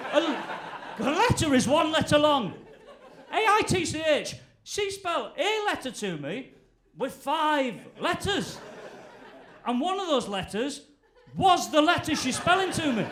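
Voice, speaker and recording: A man with an extremely high voice and a Northern English accent, fairly slow and full of long, frequent pauses, with very wide pitch swings and noticeable background noise. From Northern England. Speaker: stand-up comedian. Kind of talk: stand-up comedy set.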